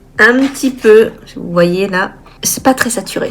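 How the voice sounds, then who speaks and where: Over noticeable background noise, a woman with a fairly high voice and ordinary pitch variation speaks at a very slow pace. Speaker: illustrator vlogger. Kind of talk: casual vlog talk to camera. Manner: direct.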